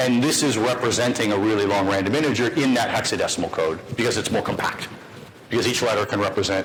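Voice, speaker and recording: A man talks at a fairly quick pace with ordinary pitch variation. Audible room echo and noticeable background noise are present. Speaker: lecturer. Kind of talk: lecture. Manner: fast.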